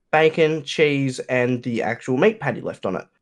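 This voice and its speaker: Here is a man with an Australian accent. His pitch is fairly high and his pace fairly slow. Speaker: YouTuber and streamer. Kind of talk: casual chat.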